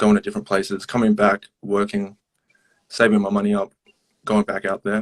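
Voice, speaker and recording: With an Australian accent, a man of fairly low pitch speaks at a fairly quick pace in a monotone, flat intonation, leaving long, frequent pauses, all captured with a dry, close sound and no echo. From Australia, Melbourne. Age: 20s. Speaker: hip hop artist. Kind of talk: casual interview. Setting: live social media stream. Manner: hesitant, many fillers.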